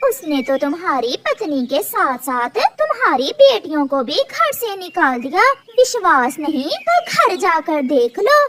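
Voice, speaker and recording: Putting on a cartoonish character voice, a woman speaks at an extremely high pitch with very wide pitch swings, fairly slowly and with hardly any pauses. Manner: sly, mischievous.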